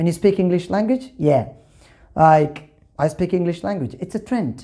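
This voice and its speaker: A woman speaks with a dark, mellow tone at fairly low pitch, swinging very widely in pitch. The recording is very clean, with a silent background. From Kerala, India. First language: Malayalam. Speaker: English teacher. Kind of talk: tutorial.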